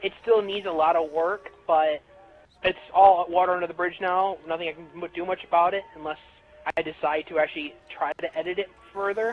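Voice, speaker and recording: Amid noticeable background noise, a man talks fast-ish in a high pitch, his intonation fairly even but his loudness swinging a lot. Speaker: fan fiction writer. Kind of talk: casual interview.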